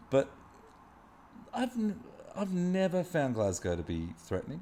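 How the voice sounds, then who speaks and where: In an Australian accent, a man speaks at a fairly slow pace. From Australia, Wollongong area. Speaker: muralist, street artist. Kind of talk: casual chat. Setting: artist's studio.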